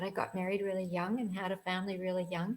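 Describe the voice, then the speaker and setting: A woman speaks with a somewhat breathy voice. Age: 80s+. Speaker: online business owner. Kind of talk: interview answer.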